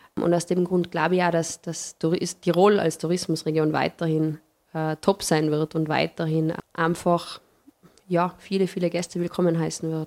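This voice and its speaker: Her intonation is monotone and flat as a woman with a fairly low pitch speaks. She keeps a moderate pace. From Tyrol, Paznaun valley (Austria). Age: young. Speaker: hotelier and tourism industry representative. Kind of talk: interview conversation.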